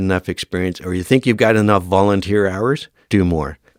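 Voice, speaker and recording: With a Canadian accent and a normal speaking voice, a man talks fairly quickly at a fairly low pitch with fairly even intonation, recorded very cleanly over a silent background with a dry, close sound and no echo. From Northern Ontario, Canada. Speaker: firefighter and fire academy instructor. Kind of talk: podcast interview.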